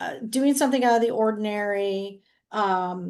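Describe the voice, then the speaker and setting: This is a woman with a normal speaking voice. Her fairly high pitch shows ordinary variation. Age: 60s. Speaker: real estate agent. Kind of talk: group discussion.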